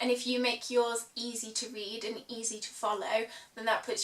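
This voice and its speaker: Someone with a British accent talks at a moderate pace over noticeable background noise. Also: woman. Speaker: law student. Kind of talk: casual advice talk to camera.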